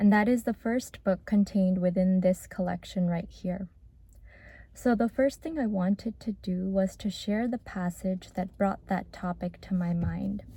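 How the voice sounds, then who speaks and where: Soft-spoken and somewhat breathy, a woman speaks at a medium pitch with a dark, mellow tone and fairly even intonation. Her moderate pace comes through a very clean recording with a silent background. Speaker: former medical student. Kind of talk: reflective talk to camera.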